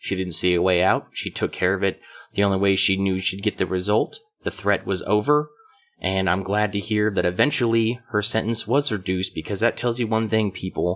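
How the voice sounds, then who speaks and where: A man talks at a fairly quick pace in a fairly low pitch. His intonation stays fairly even. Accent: American. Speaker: podcast co-host. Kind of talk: casual chat. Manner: loud.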